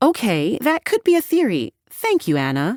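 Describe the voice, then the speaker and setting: A female-sounding voice puts on a character voice, high in pitch and at a moderate pace. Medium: read story. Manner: brisk, businesslike.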